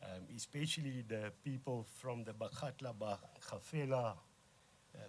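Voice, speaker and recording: A man with a South African accent speaks at a medium pitch, somewhat breathy, with ordinary pitch variation. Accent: Afrikaans South African. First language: Afrikaans. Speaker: organisation leader. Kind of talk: formal speech. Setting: press conference. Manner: halting.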